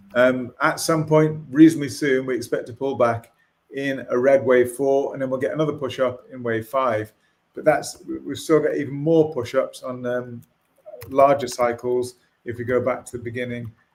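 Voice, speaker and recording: A man with a normal speaking voice talks at a moderate pace and medium pitch, with fairly even intonation and big swings in loudness. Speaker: market analyst. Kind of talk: market analysis on a video call.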